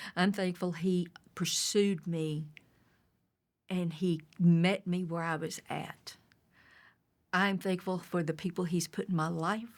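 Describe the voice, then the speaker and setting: A woman, fairly low-pitched and monotone, at a very slow pace with long, frequent pauses, in a very clean recording with a silent background. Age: 60s. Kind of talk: testimony. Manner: halting.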